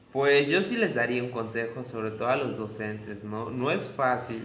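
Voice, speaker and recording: A man with a slight Yucatecan accent speaks at a moderate pace and medium pitch. Noticeable background noise and audible room echo are present. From Yucatán, Mexico. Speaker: tourism graduate. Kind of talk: interview.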